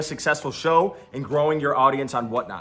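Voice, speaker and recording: A man talks loudly at a fairly quick pace. His tone is energetic, bright and sharp. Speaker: online reseller and YouTuber. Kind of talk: explainer video to camera.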